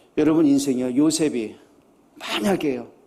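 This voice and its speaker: There is audible echo in the room as a man speaks in an animated tone. His pitch is fairly high, with ordinary variation. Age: 60s. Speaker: pastor. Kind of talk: sermon. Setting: church.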